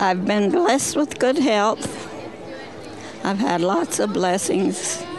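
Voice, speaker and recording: Crowd noise and audible room echo fill the background. The speaker, in an American accent, goes very slowly with long, frequent pauses and very wide pitch swings. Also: woman, medium pitch for a woman, very even loudness. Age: 90s. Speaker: rodeo queen's mother, spectator. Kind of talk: short interview. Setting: outdoors at a rodeo.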